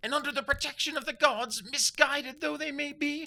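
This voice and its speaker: This voice is pitched extremely high for a man. He is putting on a character voice. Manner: indignant, shouting.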